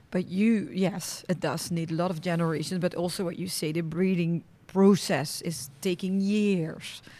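With a Dutch accent, a woman talks at a moderate pace with hardly any pauses. Her voice is fairly low, dark and mellow in tone, with fairly even intonation. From Netherlands. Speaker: podcast host. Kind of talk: interview. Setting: on location at a stud farm.

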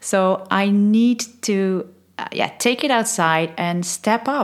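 A woman with a Dutch accent uses a medium pitch and ordinary pitch variation. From Netherlands. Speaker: podcast host and change consultant. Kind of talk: scripted-style solo podcast intro, casual.

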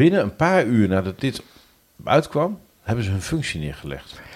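This man talks at a fairly slow pace. His pitch rises and falls in very wide swings. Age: 40s. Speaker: podcast host. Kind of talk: casual chat.

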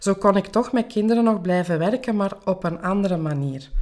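With a normal speaking voice, a woman talks at a moderate pace using ordinary pitch variation. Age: 40s. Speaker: life coach and podcast host. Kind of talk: interview answering questions.

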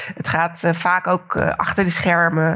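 Very slow and monotone, a woman talks in a fairly low pitch with flat intonation. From Netherlands, Delft. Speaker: cultural historian. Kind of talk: lecture.

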